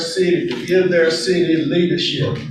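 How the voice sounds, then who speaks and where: A loud man with an American accent at a fairly slow pace, with audible room echo. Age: 60s. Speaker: city council member. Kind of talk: public meeting speech. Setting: city council chamber. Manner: animated.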